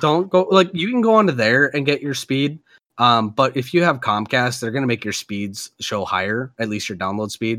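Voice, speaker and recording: The tone is bright and sharp, with lively intonation at a moderate pace. The recording is very clean, the background silent. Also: man, medium pitch for a man. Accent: Upper Midwest. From Minnesota. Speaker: podcast host. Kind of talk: casual chat.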